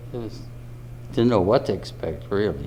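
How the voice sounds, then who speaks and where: A man's fairly low voice with very wide pitch swings and an American accent, plus noticeable background noise and audible room echo. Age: 80s+. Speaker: war veteran. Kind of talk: testimony. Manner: halting.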